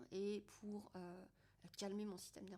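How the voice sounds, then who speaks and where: This is a woman speaking. Her pitch is medium. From France. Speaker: podcaster and personal development host. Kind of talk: casual monologue. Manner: hesitant, many fillers.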